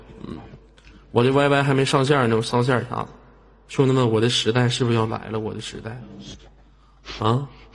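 The speech has long, frequent pauses and audible room echo. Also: man, medium pitch for a man, fairly quick pace. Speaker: live-stream host. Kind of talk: live-stream chat with viewers. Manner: animated.

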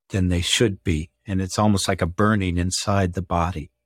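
A man with a fairly low voice speaks at a moderate pace, recorded dry and close with no echo on a very clean track with a silent background. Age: 60s. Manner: enthusiastic.

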